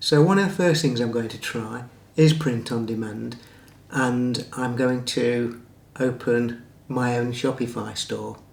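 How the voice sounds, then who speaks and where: A man with a medium-pitched voice speaks fairly slowly and with ordinary pitch variation while noticeable background noise runs underneath. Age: 60s. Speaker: former wedding videographer and photographer. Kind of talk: casual talk to camera.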